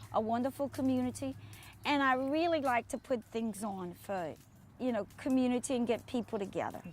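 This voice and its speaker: A fairly quick South Louisiana accent with ordinary pitch variation, on a very clean recording with a silent background. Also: woman, high pitch for a woman. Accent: south Louisiana bayou. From US South, south Louisiana bayou (Chauvin). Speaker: retired teacher and event organizer. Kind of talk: casual interview. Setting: outdoors. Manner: halting.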